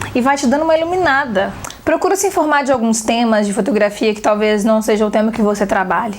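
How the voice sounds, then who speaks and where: A woman speaks at a fairly quick pace in an animated tone with lively intonation. Noticeable background noise runs underneath. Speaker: photography teacher. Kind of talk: online seminar talk. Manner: fast.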